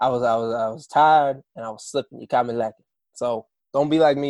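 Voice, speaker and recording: With an American accent, a man talks at a very fast pace and a medium pitch, his intonation fairly even and the sound dry and close with no echo. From Kansas, US. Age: 20s. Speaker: musician. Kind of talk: interview. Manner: casual, conversational.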